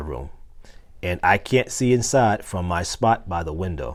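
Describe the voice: In a low pitch and a slightly mellow tone, a man talks at a fairly slow pace with lively intonation.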